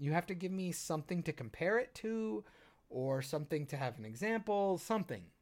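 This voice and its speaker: The recording is very clean, with a silent background. A man with a high pitch talks at a fairly quick pace in an animated tone, his pitch swinging very widely. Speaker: podcast co-host, filmmaker. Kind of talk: casual chat. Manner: trying not to yell as much.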